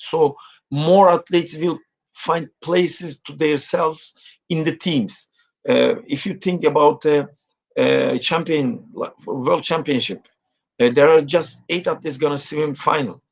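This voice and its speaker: A man speaks with a Turkish accent at a fairly slow pace. His pitch is fairly high, with ordinary variation. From Turkey. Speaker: swimming coach. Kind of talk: interview. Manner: halting, many fillers.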